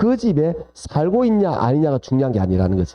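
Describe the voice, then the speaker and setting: A man speaks with a Gyeongsang accent at a moderate pace. His tone is animated, with very wide pitch swings. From South Gyeongsang, Korea (Jinju). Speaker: lecturer. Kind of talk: lecture.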